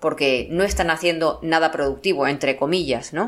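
A woman's fairly low voice with vocal fry, ordinary pitch variation and a fairly quick pace. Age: 50s. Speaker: psychologist and writer. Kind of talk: interview.

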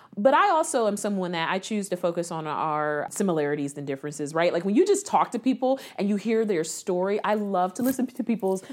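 Talking at a fairly quick pace with lively intonation, a woman with a Midwestern American accent uses a medium pitch on a very clean recording with a silent background. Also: hardly any pauses. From Columbus, Ohio. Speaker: nonprofit executive director. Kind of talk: interview.

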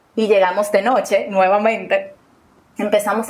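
The pace is fairly slow. There's a somewhat breathy quality. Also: woman. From Dominican Republic. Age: 20s. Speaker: storyteller guest. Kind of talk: personal testimony.

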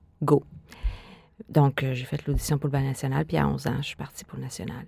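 A woman speaks in a dark, mellow tone. The recording is very clean and the background silent. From Quebec City, Canada. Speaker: dancer and choreographer. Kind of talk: interview.

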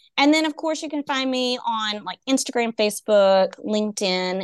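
A woman with a Texan accent, lively intonation and a moderate pace over a quiet background. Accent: Texan (US Southern). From East Texas. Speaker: education consultant and coach. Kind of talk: casual interview.

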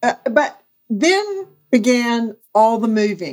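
This is a woman's voice. She speaks in a Southern US accent. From US South, Mississippi. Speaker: real estate agent. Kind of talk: casual interview chat.

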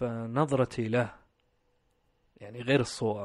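Very slow delivery with ordinary pitch variation. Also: man. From Saudi Arabia (Riyadh), Pakistani parents. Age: 30s. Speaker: guest sharing life story. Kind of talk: personal interview. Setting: studio.

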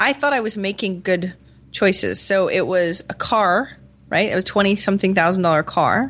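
Against a quiet background, a woman talks at medium pitch. She has an ordinary speaking voice with ordinary pitch variation. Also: moderate pace. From Maine, US. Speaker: entrepreneur and podcaster. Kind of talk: interview conversation.

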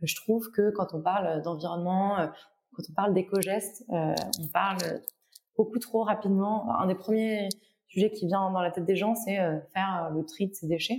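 Pausing long and often, a woman speaks at a moderate pace. Her pitch is medium. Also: ordinary pitch variation. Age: 20s. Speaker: data analyst in climate finance. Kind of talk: casual interview. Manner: halting, many repeated words.

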